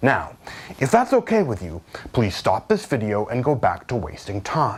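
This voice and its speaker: Speaking at a moderate pace, the man's voice makes very wide pitch swings. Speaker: online ad spokesperson. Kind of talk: sales pitch. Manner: casual.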